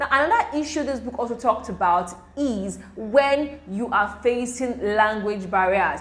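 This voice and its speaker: With a Nigerian accent and ordinary pitch variation, a woman speaks amid noticeable background noise and audible room echo. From Nigeria (Igbo). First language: Igbo. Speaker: medical student youtuber. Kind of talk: tutorial. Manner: casual, hesitant with fillers.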